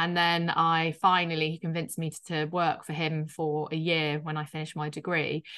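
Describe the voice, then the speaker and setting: A woman's very deep, low voice in a Yorkshire accent, bright and sharp in tone, monotone and flat, at a moderate pace with hardly any pauses, against a quiet background. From Yorkshire, northern England. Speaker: startup founder and CEO. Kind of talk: interview. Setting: video call. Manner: hesitant, filler-heavy.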